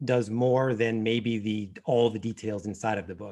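A man at a fairly slow pace and medium pitch, a normal speaking voice. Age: 40s. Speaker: financial planner, firm founder. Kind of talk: interview.

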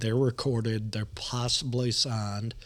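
In a Southern US accent, a man speaks at a fairly slow pace and medium pitch, his intonation monotone and flat. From Nashville, Tennessee. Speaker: podcast host. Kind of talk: casual chat.

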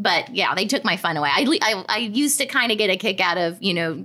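A woman's normal speaking voice at medium pitch, fairly quick, with lively intonation. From Arkansas and Edmond, Oklahoma. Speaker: podcast co-host. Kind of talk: casual chat.

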